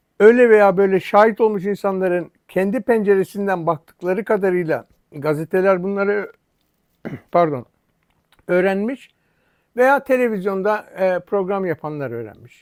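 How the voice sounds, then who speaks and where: A man speaks at a high pitch with ordinary pitch variation. His pace is fairly slow, with long, frequent pauses. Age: 70s. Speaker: YouTuber. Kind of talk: angry monologue. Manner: animated; halting.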